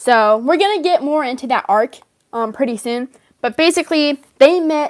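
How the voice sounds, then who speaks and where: A loud woman's high-pitched voice with lively intonation at a moderate pace, dry and close with no echo. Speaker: livestreamer and fan story creator. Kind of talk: casual livestream chat. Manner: talkative, rambling.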